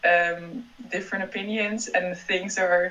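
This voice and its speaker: A woman speaks at a medium pitch in a Dutch accent. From Netherlands. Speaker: PhD student. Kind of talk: casual interview.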